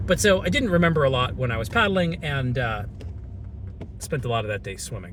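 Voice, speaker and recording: A man talks with an American accent. Room echo is audible. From US South, Atlanta, Georgia. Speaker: vlogger. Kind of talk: casual storytelling monologue. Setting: in a car. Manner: conversational with fillers.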